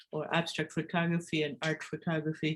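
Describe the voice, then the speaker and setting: A woman speaks at a moderate pace, her voice somewhat breathy. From Argentina. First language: Spanish (also German). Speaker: photographer. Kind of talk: presentation. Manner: hesitant, with many fillers.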